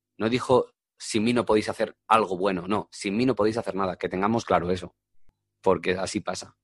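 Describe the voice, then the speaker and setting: Against a quiet background, a man speaks with fairly even intonation in a dry, close sound with no echo. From Madrid region, Spain. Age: 20s. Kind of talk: testimony. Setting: radio studio. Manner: halting, with repetitions.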